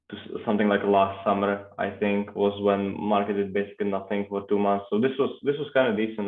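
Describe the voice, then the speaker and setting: A Russian accent at a fairly quick pace. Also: man. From Czech Republic. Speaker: crypto trader. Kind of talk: casual chat. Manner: halting, many fillers.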